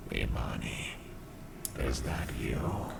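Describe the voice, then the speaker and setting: A raspy whisper in a put-on character voice. Loud background noise fills the recording. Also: man. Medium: read story. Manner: uncanny, mimicking, luring.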